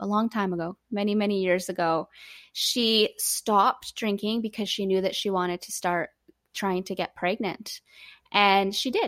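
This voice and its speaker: A woman with a Canadian accent uses an ordinary speaking voice at medium pitch, fairly even intonation and a fairly slow pace, in a very clean recording with a silent background. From Canada. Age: 30s. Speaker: recovery organization co-founder. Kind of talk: interview.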